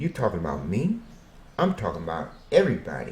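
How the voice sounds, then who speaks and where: A man's dark, mellow, somewhat breathy voice with an American accent, in audible room echo. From Arkansas, US South. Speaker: self-interviewing storyteller. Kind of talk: self-interview monologue.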